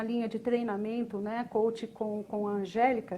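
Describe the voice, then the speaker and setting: A woman is speaking at a moderate pace. Her pitch is fairly high. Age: 60s. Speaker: communication and expressiveness consultant. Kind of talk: live stream chat. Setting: live video stream. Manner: animated.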